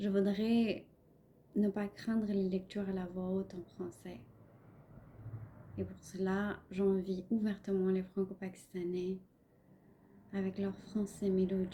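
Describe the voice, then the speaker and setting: A woman with a non-native accent speaks very slowly at a medium pitch, with long, frequent pauses. Her dark, mellow voice is somewhat breathy, and her intonation is monotone and flat. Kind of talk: personal reflective podcast monologue.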